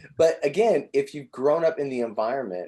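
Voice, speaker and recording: A man with an American accent has an unremarkable speaking voice and lively intonation. He talks at a moderate pace against a quiet background. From Southern Indiana. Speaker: podcast host. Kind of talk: interview. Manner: casual, many fillers.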